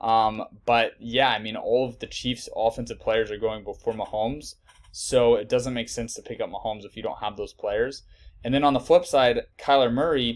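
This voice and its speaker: At a moderate pace, a man talks with big swings in loudness. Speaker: fantasy sports analyst. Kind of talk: tutorial. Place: home room.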